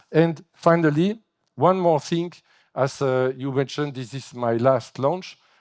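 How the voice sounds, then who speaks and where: With a French accent, a man speaks with ordinary pitch variation. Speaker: agency director. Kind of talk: keynote speech. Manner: halting.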